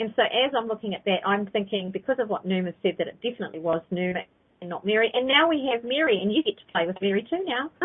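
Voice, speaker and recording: Speaking very fast in a fairly high voice with a New Zealand accent, a woman swings very widely in pitch and leaves long, frequent pauses. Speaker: psychic teacher. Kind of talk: live call-in teaching show.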